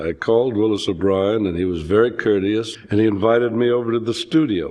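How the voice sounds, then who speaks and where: With an American accent, a man talks at a fairly quick pace in a fairly low pitch, using ordinary pitch variation in an ordinary speaking voice. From Los Angeles. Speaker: special effects animator. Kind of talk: interview answer.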